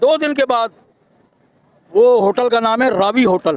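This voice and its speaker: The recording sounds dry and close with no echo, and the voice shows ordinary pitch variation. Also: man. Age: 60s. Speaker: street interviewee. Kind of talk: street interview.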